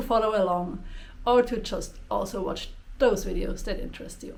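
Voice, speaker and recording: A woman speaks at a moderate pace with a Swiss German accent. There is audible room echo and noticeable background noise. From Switzerland. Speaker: spiritual YouTuber. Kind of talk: casual vlog introduction.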